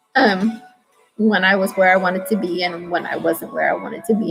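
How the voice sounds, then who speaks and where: A woman's voice with music in the background. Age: 30s. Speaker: video diarist. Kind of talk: personal vlog monologue. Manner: halting.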